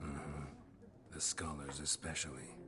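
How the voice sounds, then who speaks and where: The pace here is moderate. The voice is a put-on character voice. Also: man, very deep, low pitch for a man. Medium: video game. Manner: terse, deadpan.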